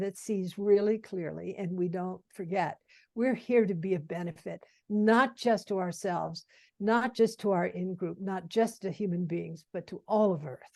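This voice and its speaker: A woman's dark, mellow tone comes through with a quiet background behind her. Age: 80s+. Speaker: Zen Buddhist teacher. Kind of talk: interview conversation.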